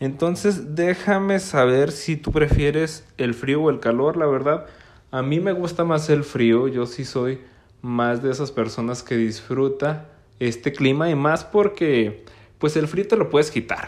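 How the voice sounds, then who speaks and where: Pitched fairly high, a man with a northern Mexican accent talks at a fairly slow pace with ordinary pitch variation. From northern Mexico, Gómez Palacio, Durango (La Laguna). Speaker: podcast host. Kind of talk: casual solo podcast monologue.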